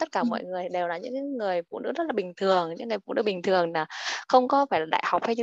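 A woman at a very fast pace with lively intonation, in a dry, close sound with no echo. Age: 30s. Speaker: stay-at-home mother. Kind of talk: self-introduction.

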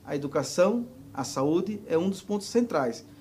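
A man's high-pitched voice with lively intonation, at a fairly slow pace. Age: 40s. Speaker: social movement leader. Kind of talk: interview.

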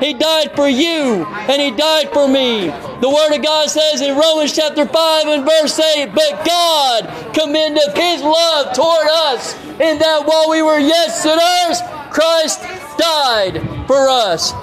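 Amid noticeable background noise, a man speaks very slowly at an extremely high pitch, with ordinary pitch variation and very even loudness. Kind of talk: street sermon preached to passersby. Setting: outdoors, street. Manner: loud, declamatory, fervent, repeating phrases for emphasis.

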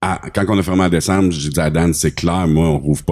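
In a Quebec accent, the speaker goes at a moderate pace on a very clean recording with a silent background. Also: man. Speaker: podcast host. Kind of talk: casual chat. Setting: studio.

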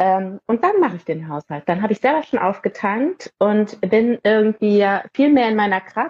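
A woman speaks at a moderate pace with lively intonation. Her pitch is medium, and she has a plain, everyday voice. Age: 30s. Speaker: parenting mentor for mothers. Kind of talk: casual interview.

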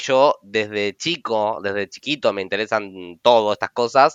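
A man speaks at a fairly slow pace against a quiet background, the sound dry and close with no echo. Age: 30s. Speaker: podcast host, tarot reader and teacher. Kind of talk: casual chat.

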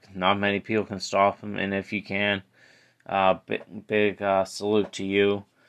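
Over a quiet background, a man speaks at a moderate pace with a fairly low pitch and a monotone, flat intonation. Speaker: podcast host. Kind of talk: solo sports podcast recap. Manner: halting, many filler words.

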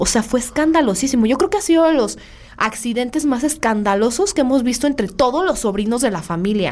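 A woman speaks at a very fast pace and high pitch, with very wide pitch swings. Noticeable background noise is present. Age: 30s. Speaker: podcast host, semiotics student. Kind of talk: casual chat.

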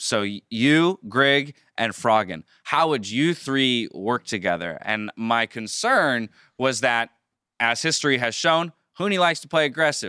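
In an American accent, the voice has a bright, sharp tone and lively intonation, with a dry, close sound with no echo on a very clean recording with a silent background. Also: man, medium pitch for a man, fairly slow pace. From US, Southern California (San Diego). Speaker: esports podcast host. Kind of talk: casual interview.

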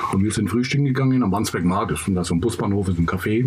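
A man's fairly low voice at a very fast pace with ordinary pitch variation, plus audible room echo and noticeable background noise. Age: 50s. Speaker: former prisoner, youth worker. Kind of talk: casual chat.

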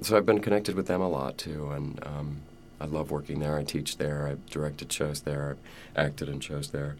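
At a fairly quick pace, a man talks with a very deep, low pitch and ordinary pitch variation. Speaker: stage actor. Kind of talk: interview.

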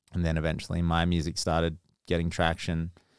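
A man with a very deep, low voice speaks in an Australian accent at a moderate pace on a very clean recording with a silent background. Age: 30s. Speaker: DJ and producer. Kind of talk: casual chat.

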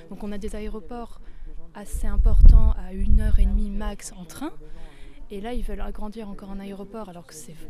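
Amid audible room echo and noticeable background noise, a woman at medium pitch speaks at a fairly quick pace with ordinary pitch variation, big swings in loudness and long, frequent pauses. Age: 30s. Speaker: climate activist. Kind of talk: interview at a protest.

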